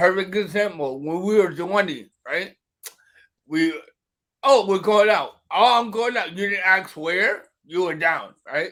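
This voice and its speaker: With a bright, sharp tone, a man talks in a high pitch at a fairly slow pace, his pitch varying in an ordinary way. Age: 30s. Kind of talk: casual chat.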